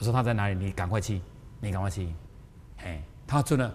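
A man, somewhat breathy, at a fairly quick pace amid audible room echo. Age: 60s. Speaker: spiritual teacher. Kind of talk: lecture. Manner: animated.

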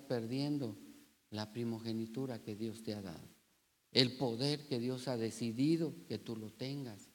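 The man's pitch varies in an ordinary way as he talks fairly slowly. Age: 60s. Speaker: pastor. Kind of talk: sermon; prayer. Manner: halting.

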